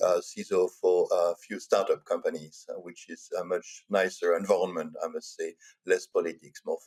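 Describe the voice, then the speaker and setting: A man in a Walloon accent at a moderate pace, with big swings in loudness and a dry, close sound with no echo. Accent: French-speaking Belgian. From Belgium (French-speaking). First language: French. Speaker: cybersecurity executive. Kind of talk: podcast interview.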